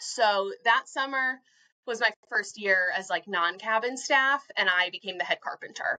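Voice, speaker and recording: A woman with an American accent speaks at a fairly high pitch in a bright, sharp tone. Her pitch varies in an ordinary way. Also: moderate pace, dry, close sound with no echo. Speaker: camp staff member. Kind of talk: casual chat.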